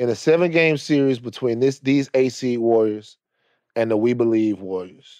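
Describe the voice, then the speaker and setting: A man's medium-pitched voice with a dark, mellow tone, ordinary pitch variation and a moderate pace. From Louisiana, Baton Rouge. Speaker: film producer, TV personality. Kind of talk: casual chat.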